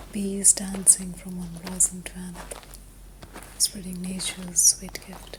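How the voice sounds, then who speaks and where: Over noticeable background noise, a woman talks at a fairly slow pace with big swings in loudness. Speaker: meditation guide. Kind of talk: sleep meditation. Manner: whispered; soft-spoken, slow.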